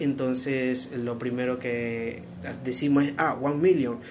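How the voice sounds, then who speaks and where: Light background noise sits under a man speaking at a fairly slow pace, his medium-pitched voice fairly even in intonation. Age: 40s. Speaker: perfume reviewer. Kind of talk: product review. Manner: hesitant, many fillers. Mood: relaxed, friendly. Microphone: phone near.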